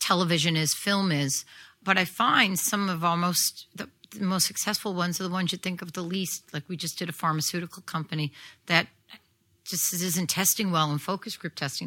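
A woman with a New York accent, a bright, sharp tone and fairly low pitch, fairly even intonation at a fairly quick pace, on a very clean recording with a silent background. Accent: New York (Staten Island). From New York City, Staten Island. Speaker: audio branding composer and producer. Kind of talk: live interview. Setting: stage with audience.

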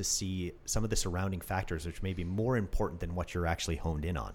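The speaker is a man with a Canadian accent. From Canada. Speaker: orthopedic surgeon and podcast host. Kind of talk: interview conversation.

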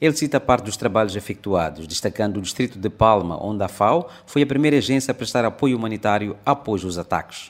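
A man speaks in a fairly low pitch with lively intonation and a plain, everyday voice. His pace is fairly quick, with hardly any pauses. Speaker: correspondent reporter. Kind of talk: news report reading. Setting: reporting from Maputo. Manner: formal, steady newsreader delivery.

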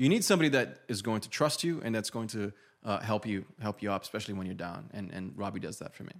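Over a very clean recording with a silent background, a man with a fairly low pitch talks very fast, with lively intonation and big swings in loudness. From Brazil. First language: Portuguese. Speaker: YouTuber and men's style coach. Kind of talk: casual podcast interview.

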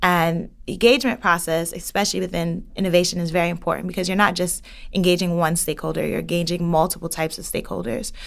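In an American accent, a woman with a fairly low pitch and vocal fry talks at a very fast pace with hardly any pauses and ordinary pitch variation. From New York City, the Bronx. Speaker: housing policy innovation specialist. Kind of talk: interview.

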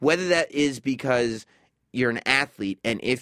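A normal speaking voice from a man at medium pitch, with ordinary pitch variation. The sound is dry and close, with no echo. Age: 30s. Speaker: radio host. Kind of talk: casual chat.

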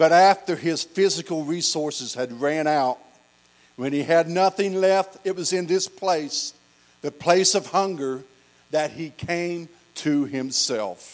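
In an American accent, a man speaks at a very slow pace. His pitch is fairly high, with ordinary variation. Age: 50s. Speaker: pastor. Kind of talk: sermon.

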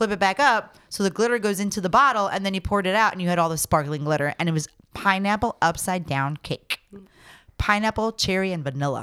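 Very fast female speech, bright and sharp in tone with lively intonation, in a dry, close sound with no echo. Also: medium pitch for a woman. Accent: American. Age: 40s. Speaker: cider maker and brewery owner. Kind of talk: casual chat. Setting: on location recording.

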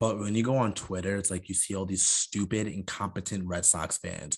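An American accent with fairly even intonation against a quiet background. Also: man. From Long Island, New York. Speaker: sports podcast co-host. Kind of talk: casual chat.

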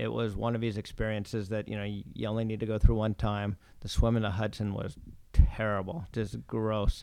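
A man with an American accent speaks at a fairly quick pace in a fairly low, monotone, flat voice over a quiet background. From US Pacific Northwest, Oregon coast. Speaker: venture capitalist. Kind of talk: interview.

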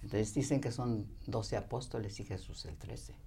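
A woman talks at a moderate pace, and audible room echo follows her voice. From Mexico, Jalisco countryside. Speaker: spiritual teacher. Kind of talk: interview. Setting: studio.

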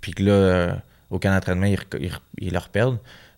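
A man with a fairly low voice at a fairly quick pace, on a very clean recording with a silent background. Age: 20s. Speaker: professional boxer. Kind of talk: casual interview.

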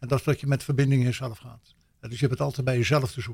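Heard in a very clean recording with a silent background, a somewhat breathy man talks at a very fast pace with fairly even intonation. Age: 70s. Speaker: NLP trainer and coach. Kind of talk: radio interview.

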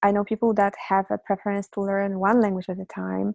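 A woman's dark, mellow tone with a Polish accent, dry and close with no echo, over a quiet background. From Poland. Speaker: polyglot and language teacher. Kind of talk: interview, conversational.

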